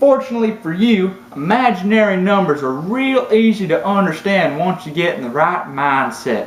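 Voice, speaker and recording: A man puts on a character voice with a rural Southern US accent, drawling at a moderate pace with hardly any pauses. His pitch is high and his intonation lively, with clear background noise. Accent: American Southern rural. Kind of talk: comic overacting. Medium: solo performance. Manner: folksy, drawling, ungrammatical.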